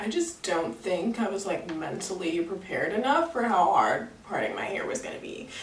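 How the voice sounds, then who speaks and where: Over noticeable background noise, a woman speaks at a medium pitch with very wide pitch swings. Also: moderate pace, hardly any pauses. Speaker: hair tutorial YouTuber. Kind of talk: casual talk to camera, tutorial.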